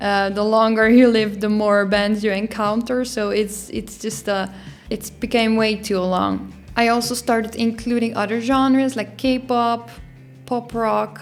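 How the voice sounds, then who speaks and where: At a fairly slow pace, a woman with a Dutch accent speaks in a fairly high voice. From Netherlands. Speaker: YouTuber. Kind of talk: casual vlog.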